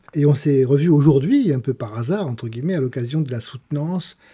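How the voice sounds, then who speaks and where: A man with a dark, mellow tone and fairly high pitch talks at a fairly quick pace, somewhat breathy, with ordinary pitch variation, on a very clean recording with a silent background. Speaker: podcast host, mathematician. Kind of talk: casual interview.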